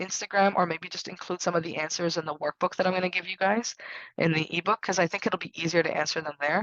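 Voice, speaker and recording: A woman at a fairly low pitch with monotone, flat intonation. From Canada, Syrian immigrant family. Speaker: herbalist. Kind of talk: live webinar Q&A. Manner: casual, with many fillers and repetitions.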